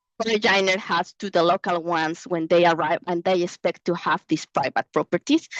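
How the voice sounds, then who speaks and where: At a moderate pace with hardly any pauses, a woman with a Mexican accent speaks in a fairly low pitch and fairly even intonation, in a dry, close sound with no echo. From Mexico. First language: Spanish. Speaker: researcher. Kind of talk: Q&A answer at an online conference. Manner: halting.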